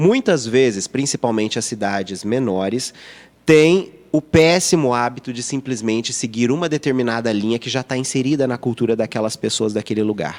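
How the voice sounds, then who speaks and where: A man with a medium-pitched voice talks at a moderate rate, his pitch varying in an ordinary way. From Minas Gerais, Brazil (Lavras). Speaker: youtuber and advertising professional. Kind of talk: podcast interview. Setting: in-person podcast studio.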